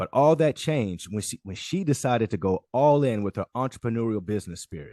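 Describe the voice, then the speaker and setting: Speaking in an American accent at a fairly quick pace, a man with a fairly low pitch and a dark, mellow tone uses ordinary pitch variation, recorded with a dry, close sound, no echo and a quiet background. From North Carolina. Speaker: podcast host. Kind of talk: podcast interview. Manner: enthusiastic.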